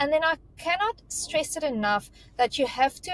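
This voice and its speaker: A woman with a South African accent speaks at a moderate pace with very wide pitch swings, in a dry, close sound with no echo and noticeable background noise. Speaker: recruitment career mentor. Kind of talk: panel discussion on resume advice. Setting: video call.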